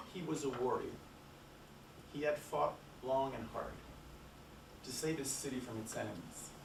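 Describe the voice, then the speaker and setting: There is audible room echo and noticeable background noise. Through it, a man speaks at a moderate pace and a medium pitch. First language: French. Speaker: academic conference speaker. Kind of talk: conference talk, storytelling from a written paper. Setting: conference with audience. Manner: reading from paper, somewhat halting.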